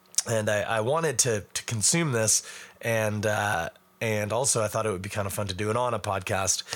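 A man talks at a moderate pace in a raspy, fairly low voice with a fairly bright tone. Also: ordinary pitch variation.

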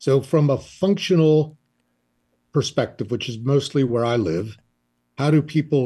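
Against a quiet background, a man with a fairly high pitch speaks in a dark, mellow, somewhat breathy tone with lively intonation. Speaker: psychologist. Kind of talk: interview.

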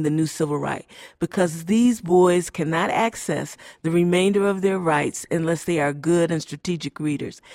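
This is an ordinary speaking voice, and it keeps to a moderate pace. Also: woman. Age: 60s. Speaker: reading expert and consultant. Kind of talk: conference interview. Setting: live at conference.

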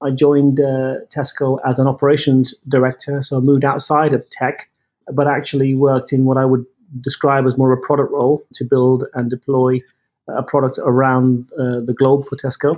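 An English accent from a man at medium pitch, moderate pace, and monotone, flat intonation. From England. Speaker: tech executive. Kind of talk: interview. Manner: hesitant, repeats words.

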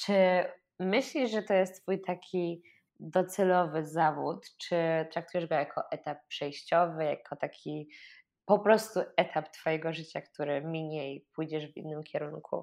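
A woman speaks in a plain, everyday voice, fairly low in pitch. Her pace is fairly slow, with ordinary pitch variation. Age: 20s. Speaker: podcast host. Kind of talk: interview; scripted intro.

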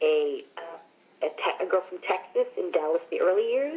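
Someone with an American accent speaks at a very slow pace over noticeable background noise. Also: woman. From US Northeast (Long Island, New York). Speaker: actress. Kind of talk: interview.

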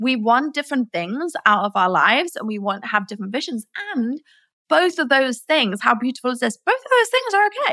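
A woman's raised, projected voice, high-pitched, bright and sharp, with very wide pitch swings at a fairly quick pace, dry and close with no echo. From England, Nottingham. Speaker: entrepreneur, former chiropractor. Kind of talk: interview.

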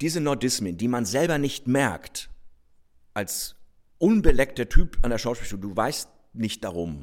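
The speaker is a man with a northern German accent. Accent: northern German colouring. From northern Germany, Rostock. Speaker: stage actor. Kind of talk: casual conversation; reading aloud.

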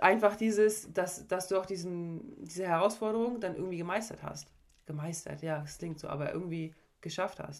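A woman with an unremarkable speaking voice speaks at a moderate pace with ordinary pitch variation. Her loudness swings widely. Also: medium pitch for a woman. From Mecklenburg-Vorpommern, Germany (Parchim/Schwerin). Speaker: sports psychologist and former volleyball player. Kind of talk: casual chat.

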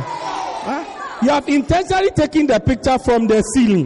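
A man with an extremely high voice speaks at a moderate pace in an animated tone, his pitch swinging very widely, with crowd noise behind him. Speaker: preacher. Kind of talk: sermon. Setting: church with congregation. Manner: animated, humorous, call-and-response with the congregation.

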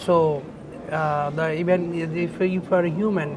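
A man with a Bengali accent speaks at a high pitch with fairly even intonation. Noticeable background noise runs behind him. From Bangladesh. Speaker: advertising creative director. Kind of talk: interview. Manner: halting.

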